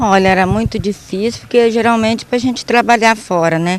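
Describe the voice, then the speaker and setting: A woman speaks at medium pitch and a moderate pace with fairly even intonation. Noticeable background noise runs underneath. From rural Brazil. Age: 60s. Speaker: adult literacy student. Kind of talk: interview.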